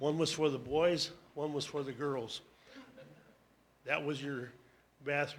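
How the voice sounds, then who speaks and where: A fairly high-pitched man with an American accent, monotone and flat in intonation, leaving long, frequent pauses amid audible room echo. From US Midwest, Door County, Wisconsin. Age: 80s+. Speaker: panelist sharing school memories. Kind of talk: public talk, memoir. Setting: town hall with audience.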